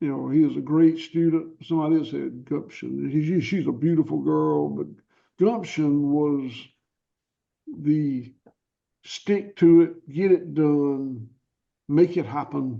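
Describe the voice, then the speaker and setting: A man speaks in a Southern US accent at a fairly slow pace, with long, frequent pauses. The background is quiet. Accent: Southern US (Georgia). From US South, rural Georgia. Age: 60s. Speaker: cattle farmer. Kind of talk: interview. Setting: podcast interview.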